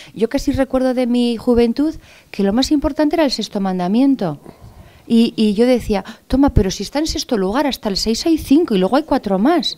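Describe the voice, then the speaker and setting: Her dark, mellow voice sits high in pitch, moving at a fairly quick pace with lively intonation. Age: 40s. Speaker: panelist at a religion forum. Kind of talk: public forum discussion.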